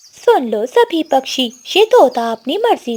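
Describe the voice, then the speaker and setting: The speaker uses a cartoonish character voice. The delivery is fairly slow. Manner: eager, determined.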